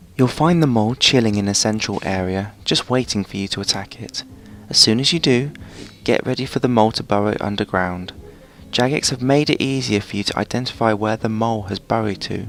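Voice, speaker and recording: Soft-spoken, a man talks at a fairly quick pace in a fairly low pitch with ordinary pitch variation. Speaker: gaming video narrator. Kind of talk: game guide tutorial. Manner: quiet, soft-spoken.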